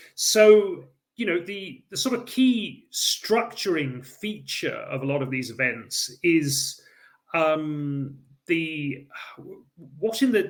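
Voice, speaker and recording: A man with an English accent speaks at a high pitch and a very slow pace. His pitch swings very widely. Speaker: historian. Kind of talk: lecture. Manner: hesitant, many fillers.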